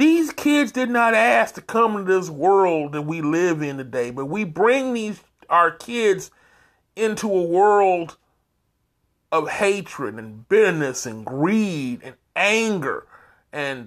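In a very clean recording with a silent background, a man with a high pitch speaks at a very slow pace, with very wide pitch swings, big swings in loudness, and long, frequent pauses. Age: 50s. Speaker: podcast host. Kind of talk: monologue commentary. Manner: earnest.

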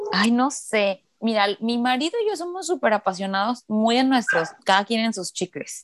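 A woman's fairly high voice with lively intonation, moderate pace and hardly any pauses, in a dry, close sound with no echo. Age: 30s. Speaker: podcast host. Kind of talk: casual chat. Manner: talkative.

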